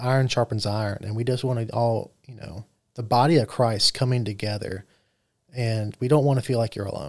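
This man speaks with a Southern US accent at a medium pitch and a fairly quick pace. His intonation is fairly even, his loudness swings widely, and the recording is very clean with a silent background. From US South (Mobile, Alabama). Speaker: podcast co-host, construction worker. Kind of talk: casual chat.

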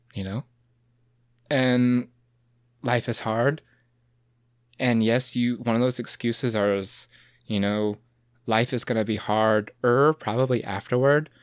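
With an American accent, a man of medium pitch speaks at a fairly slow pace with fairly even intonation and long, frequent pauses in a very clean recording with a silent background. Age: 20s. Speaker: podcast guest. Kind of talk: casual chat. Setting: podcast recording.

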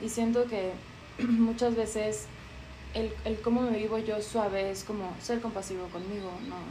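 Flat, monotone speech comes at a fairly slow pace with audible room echo and noticeable background noise. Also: woman, fairly high pitch for a woman. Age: 30s. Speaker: yoga teacher. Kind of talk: casual chat.

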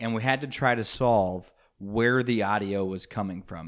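With an American accent, a man speaks in an unremarkable speaking voice at a fairly low pitch, his pitch varying in an ordinary way on a very clean recording with a silent background. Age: 20s. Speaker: podcast co-host. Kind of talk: casual chat.

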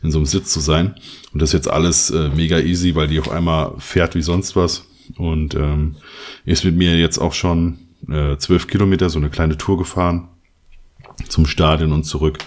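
Pitched very deep and low, a man talks at a moderate pace in a monotone, flat intonation, with very even loudness and long, frequent pauses. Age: 30s. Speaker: photographer and podcast co-host. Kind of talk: casual chat.

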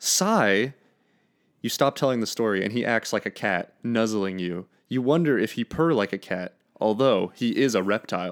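At a moderate pace, a man uses a plain, everyday voice at medium pitch with ordinary pitch variation, recorded in a dry, close sound with no echo. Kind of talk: casual podcast chat, fan fiction reading. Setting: online recording, Discord call.

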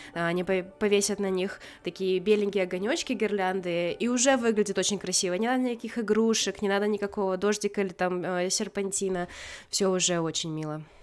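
A woman talks at a medium pitch in an unremarkable speaking voice. She moves at a fairly quick pace with fairly even intonation. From Karelia, Russia. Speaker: podcast co-host. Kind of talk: casual chat.

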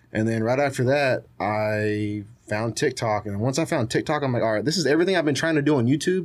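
Recorded very cleanly against a silent background, a man with an American accent has an unremarkable speaking voice at medium pitch, ordinary pitch variation and a fairly quick pace. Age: 20s. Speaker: social media content creator. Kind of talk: casual chat. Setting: studio.

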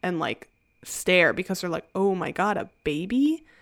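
Heard in a very clean recording with a silent background, a woman uses a normal speaking voice at medium pitch and a moderate pace. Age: 20s. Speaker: podcast host. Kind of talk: casual chat.

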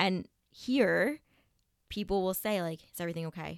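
A woman speaks with vocal fry and ordinary pitch variation. The recording is very clean, with a silent background. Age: 30s. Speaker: yoga teacher. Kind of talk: casual chat.

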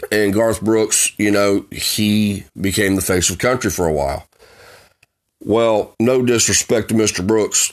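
Fairly slow speech in a Southern US accent, intonation fairly even. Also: man, fairly low pitch for a man. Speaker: podcast host and former auto worker. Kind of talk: ranting monologue.

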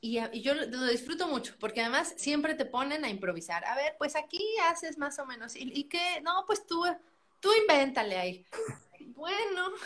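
Moderately paced speech from a woman, high in pitch and swinging very widely up and down. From Mexico, San Luis Potosí. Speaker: musical theatre actress. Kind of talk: casual interview.

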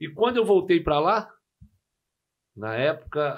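A man speaks with very wide pitch swings. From Rio de Janeiro, Brazil (Jacarepaguá). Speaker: football coach, former player. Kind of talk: casual chat.

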